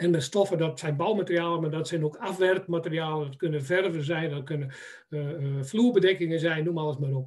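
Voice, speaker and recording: A man talks in an ordinary speaking voice at a fairly high pitch, with ordinary pitch variation. His pace is fairly quick, and the background is quiet. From Netherlands, Friesland (Harlingen); Friesland, Netherlands. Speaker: timber merchant and building biologist; webinar presenter. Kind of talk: presentation. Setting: web seminar. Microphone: video call.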